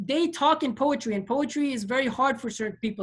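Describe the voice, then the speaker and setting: Using ordinary pitch variation, a woman with a high-pitched voice speaks at a fairly quick pace. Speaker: lecturer on comparative religion. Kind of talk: lecture. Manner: fast.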